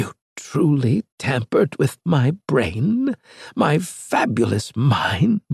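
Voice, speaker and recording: A man uses a put-on character voice with very wide pitch swings. He speaks at a very slow pace. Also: fairly high pitch for a man. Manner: horrified disbelief.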